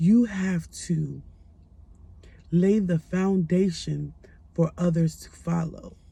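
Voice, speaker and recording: A woman speaks quietly at a very slow pace, her fairly low voice dark, mellow and somewhat breathy. Her intonation stays fairly even. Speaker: life coach. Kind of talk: motivational talk. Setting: at home late at night.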